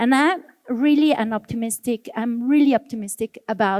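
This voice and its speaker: A woman with a Spanish accent speaks at a moderate pace in a fairly high pitch with ordinary pitch variation, the sound dry and close with no echo. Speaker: architect. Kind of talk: panel discussion.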